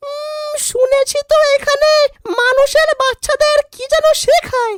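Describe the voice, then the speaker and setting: A female-sounding, cartoonish character voice sits at an extremely high pitch. It moves at a fairly slow pace. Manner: sharp, scolding.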